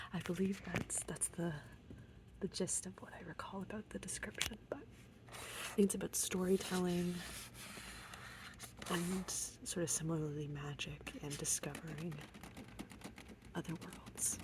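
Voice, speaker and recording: Someone whispers in a relaxed tone, leaving long, frequent pauses. Noticeable background noise is present. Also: fairly slow pace. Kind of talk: ASMR book tour, soft-spoken chatty talk to camera. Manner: soft-spoken, relaxed.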